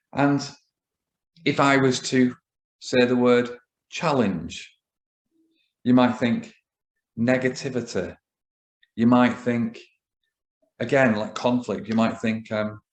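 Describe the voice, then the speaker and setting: A man with a northern English accent, medium pitch and fairly even intonation, at a very slow pace with long, frequent pauses. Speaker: business coach. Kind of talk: solo talk to camera. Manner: casual, hesitant with fillers.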